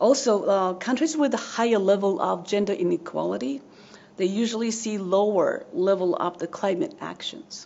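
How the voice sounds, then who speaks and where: Over noticeable background noise, a woman with a medium pitch speaks at a moderate pace with lively intonation. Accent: Japanese. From Japan. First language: Japanese. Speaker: social work professor. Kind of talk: academic presentation. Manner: halting, frequent fillers.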